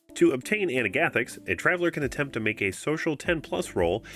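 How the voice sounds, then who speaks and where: A man's medium-pitched voice at a fairly quick pace, with music in the background. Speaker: tabletop game rules tutorial host. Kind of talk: tutorial narration.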